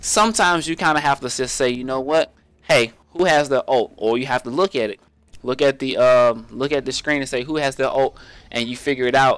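A man speaks at medium pitch and a fairly quick pace in a normal speaking voice, with ordinary pitch variation and a dry, close sound with no echo. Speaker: gaming YouTuber. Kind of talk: tutorial. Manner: casual, rambling with filler words.

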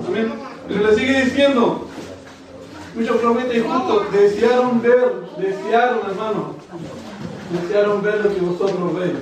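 A high-pitched man at a fairly slow pace, with long, frequent pauses, strong room echo and noticeable background noise. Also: ordinary pitch variation. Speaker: preacher. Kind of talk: sermon. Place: church.

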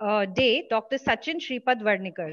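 A woman's speech unfolds at a moderate pace, its pitch varying in an ordinary way, with a quiet background behind it. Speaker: session host. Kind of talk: formal speaker introduction. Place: office. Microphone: earbuds.

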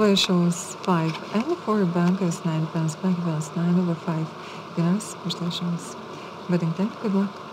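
A soft-spoken woman talks in a relaxed tone at a fairly slow pace, her pitch fairly low. Her intonation is monotone and flat, with noticeable background noise. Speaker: live baccarat dealer. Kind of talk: casino dealer announcing game rounds. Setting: live casino table. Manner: soft-spoken, relaxed. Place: studio.

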